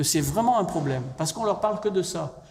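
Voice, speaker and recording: A man at a fairly quick pace with ordinary pitch variation, plus audible room echo. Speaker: professor and public health expert on vaccination. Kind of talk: public lecture.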